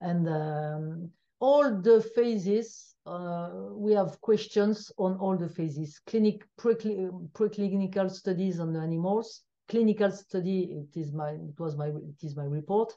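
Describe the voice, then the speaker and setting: Speaking fairly slowly with a French accent, a woman has a medium pitch, ordinary pitch variation, a dark, mellow tone and big swings in loudness. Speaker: biostatistician. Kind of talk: interview. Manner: halting.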